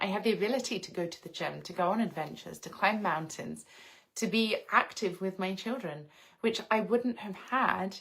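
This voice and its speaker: A woman speaks in an English accent. Her pace is moderate. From England, outskirts of London. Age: 30s. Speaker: lifestyle livestreamer. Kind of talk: casual livestream chat.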